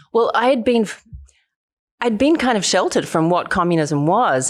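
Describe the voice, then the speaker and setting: A woman with an Australian accent at a moderate pace, lively in intonation and very even in loudness, on a very clean recording with a silent background. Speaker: human rights activist and documentary filmmaker. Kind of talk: interview.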